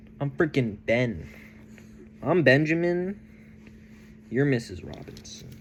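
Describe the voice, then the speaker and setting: A man with an American accent talks at a medium pitch and a fairly slow pace, leaving long, frequent pauses. His tone is animated and his intonation lively. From Texas. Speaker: vlogger. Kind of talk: casual monologue. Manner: animated, rambling.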